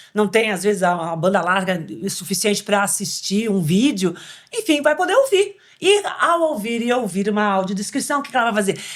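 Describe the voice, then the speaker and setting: Animated in tone, a woman speaks at a moderate pace with lively intonation. Her pitch is medium. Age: 60s. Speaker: podcast co-host. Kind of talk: casual chat.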